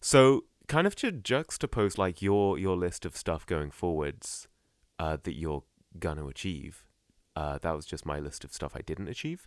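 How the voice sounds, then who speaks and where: A man with a British accent and a very deep, low pitch is heard on a very clean recording with a silent background. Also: lively intonation, moderate pace, dry, close sound with no echo. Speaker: podcast co-host. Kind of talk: casual chat.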